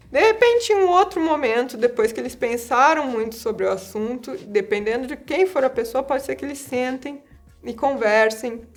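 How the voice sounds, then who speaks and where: A woman talks at a moderate pace with lively intonation and a high pitch. Her loudness swings widely, and music plays in the background. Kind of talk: interview answer.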